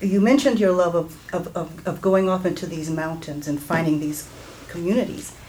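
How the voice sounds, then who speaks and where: The speech shows ordinary pitch variation, with noticeable background noise behind it. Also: woman. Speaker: audience member. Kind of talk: audience question. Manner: halting.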